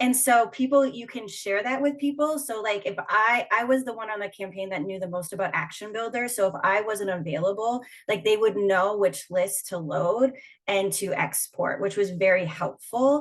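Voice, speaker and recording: Lively intonation at a moderate pace. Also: woman, medium pitch for a woman. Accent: Minnesotan. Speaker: union organizer. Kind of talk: panel discussion. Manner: casual, many fillers.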